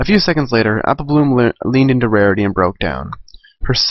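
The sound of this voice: An unforced reading voice is heard here.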